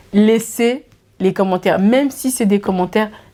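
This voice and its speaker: A woman speaks with a Swiss French accent in an animated tone. Her pitch is medium and her pace moderate. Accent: Geneva Swiss French. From Switzerland, Geneva. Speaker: YouTuber. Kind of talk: casual Q&A vlog.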